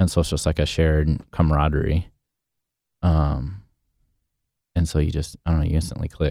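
Speaking fairly quickly but with long, frequent pauses, a man has a very deep, low pitch, a dark, mellow tone, a flat monotone and very even loudness. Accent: West Coast. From Portland, Oregon. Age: 30s. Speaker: chef and restaurant owner. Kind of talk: interview.

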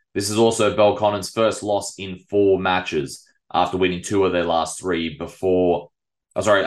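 A man talks at a moderate pace with a fairly low pitch. His intonation is fairly even. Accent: Australian. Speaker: local football podcast host. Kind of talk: sports review podcast.

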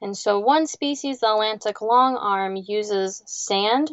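A woman's fairly high voice with a Midwestern American accent, a fairly slow pace and ordinary pitch variation. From Ohio, Lake Erie area. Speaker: marine biologist. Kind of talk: interview conversation.

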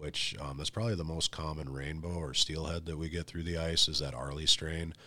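A man speaks in a very deep, low voice with an Upper Midwest US accent. His tone is bright and sharp, and his intonation is fairly even. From North Dakota. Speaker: ice fishing pro staffer. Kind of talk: casual interview.

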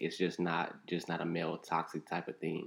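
A man with an American accent talks in a very deep, low pitch with vocal fry. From Inglewood, California. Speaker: podcast guest. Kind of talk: casual chat.

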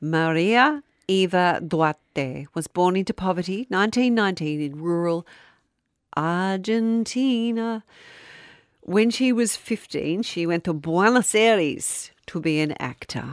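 In an Australian accent, a woman speaks very slowly with a medium pitch and lively intonation. The recording is very clean with a silent background and a dry, close sound with no echo. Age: 50s. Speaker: podcast co-host and radio presenter. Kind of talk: casual chat with storytelling.

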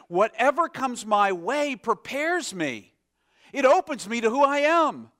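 A man speaks in a raised, projected voice at an extremely high pitch with lively intonation. The sound is dry and close with no echo. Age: 50s. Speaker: pastor. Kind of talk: sermon. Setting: church. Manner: halting.

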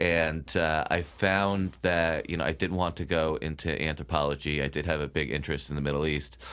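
A man with an American accent speaks at a very deep, low pitch, with vocal fry and fairly even intonation. His pace is fairly quick, with hardly any pauses. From Connecticut (Bethel). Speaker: writer, former newspaper reporter. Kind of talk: interview.

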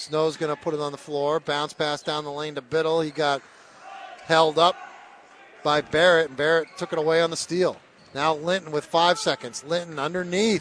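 Over noticeable background noise, a man talks at a moderate pace in a fairly high, flat, monotone voice. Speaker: radio play-by-play announcer. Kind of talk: live sports play-by-play commentary. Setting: courtside at a high school gym. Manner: chatty, relaxed between plays, with fillers.

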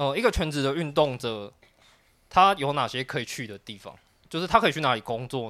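A man's fairly high, bright, sharp voice at a fairly quick pace, with lively intonation and big swings in loudness. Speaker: podcast co-host. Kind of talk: casual chat.

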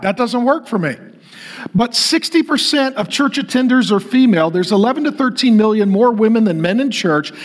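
A man with an American accent talks at an extremely high pitch and a moderate pace, his intonation lively. Noticeable background noise runs under the recording. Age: 50s. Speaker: pastor. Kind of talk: sermon. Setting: church with live audience.

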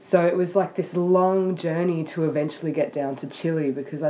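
Over noticeable background noise, someone speaks with an Australian accent and fairly even intonation. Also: woman. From Sydney, Australia. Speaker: guest. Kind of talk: casual chat.

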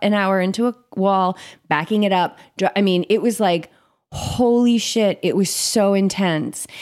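On a very clean recording with a silent background, a woman talks in an ordinary speaking voice. Her pitch is medium with ordinary variation, and her pace is moderate. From US Northeast, Cape Cod. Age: 40s. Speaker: meditation and yoga coach. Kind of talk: casual interview chat.

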